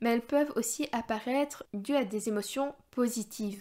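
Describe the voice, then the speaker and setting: A woman's fairly high voice with a dark, mellow tone and fairly even intonation, in a very clean recording over a silent background. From Belgium. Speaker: dietitian. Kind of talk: podcast talk. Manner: casual, hesitant.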